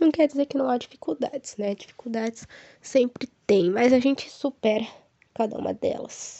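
This woman's voice is high. She keeps a moderate pace, and her pitch moves in an ordinary way. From Brazil, Paraná (Ivaiporã). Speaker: podcast host, psychology student. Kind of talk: casual solo podcast monologue. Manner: warm, animated.

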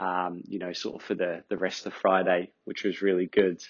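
With an Australian accent, this speaker talks at a moderate speed. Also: man. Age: 30s. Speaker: podcast host. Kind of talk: casual monologue. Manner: relaxed, with many fillers.

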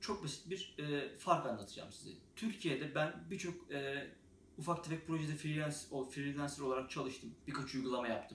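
A man with a fairly high pitch speaks at a moderate pace with ordinary pitch variation. Room echo is audible. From Turkey. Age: 20s. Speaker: software developer, YouTuber. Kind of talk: casual vlog monologue. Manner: hesitant, many filler sounds.

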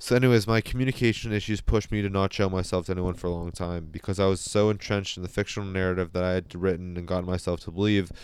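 A man with a very deep, low voice talks at a very fast pace with hardly any pauses, in a very clean recording against a silent background. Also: fairly even intonation. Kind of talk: personal monologue. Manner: halting, self-correcting, repeats words.

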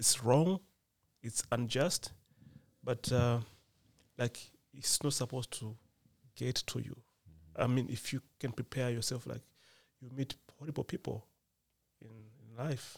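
A man with a Malawian accent speaks in a calm, somewhat breathy tone at a fairly slow pace, with long, frequent pauses and fairly even intonation. The sound is dry and close, with no echo. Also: medium pitch for a man. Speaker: PhD student. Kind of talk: casual chat. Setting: studio. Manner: calm, mellow.

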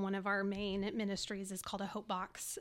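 A woman's normal speaking voice with an American accent, medium pitch and moderate pace, on a very clean recording with a silent background. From Texas, Dallas area. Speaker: nonprofit ministry volunteer. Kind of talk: testimony.

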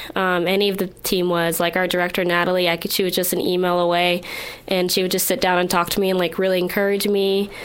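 A woman talks at a very fast pace in a medium pitch, with monotone, flat intonation. Noticeable background noise is present. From Ohio. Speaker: university student, former foster youth. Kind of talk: recorded testimony.

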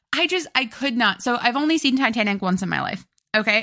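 A woman speaks in a raised, projected voice with lively intonation. Her tone is bright and sharp. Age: 30s. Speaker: podcast co-host. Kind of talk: casual chat.

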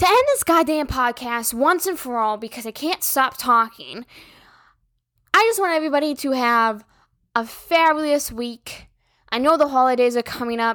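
A woman speaks loudly at a moderate pace in a high pitch. Her tone is bright and sharp, with ordinary pitch variation. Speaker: podcast host. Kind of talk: casual monologue.

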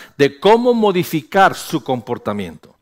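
On a very clean recording against a silent background, a man talks in an animated tone. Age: 50s. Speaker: pastor. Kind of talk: sermon.

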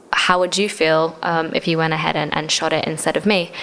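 A woman talks at a very fast pace. Noticeable background noise runs beneath her. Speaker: gig photographer. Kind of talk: casual interview. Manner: casual, uses many fillers.

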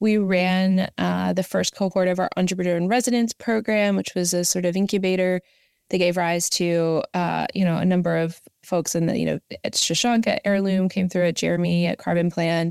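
In an American accent, a woman has a normal speaking voice at medium pitch, moving at a moderate pace with fairly even intonation and very even loudness in a dry, close sound with no echo. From Southern West Virginia. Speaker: climate policy nonprofit director. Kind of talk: interview.

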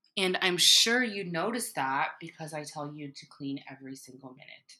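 Her tone is bright, sharp and animated. The woman's fairly low voice carries lively intonation. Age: 30s. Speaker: podcast host and mother. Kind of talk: casual chat.

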